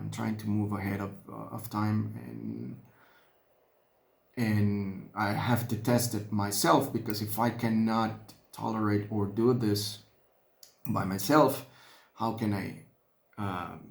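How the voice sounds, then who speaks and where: In a room with audible echo, a man with a Spanish accent speaks at a very slow pace with fairly even intonation and long, frequent pauses. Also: fairly low pitch for a man. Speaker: hobbyist miniature painter. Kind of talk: casual vlog narration while painting. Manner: halting, many fillers and repeats.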